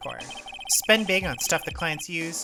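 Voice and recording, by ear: Someone is reading aloud in a natural voice.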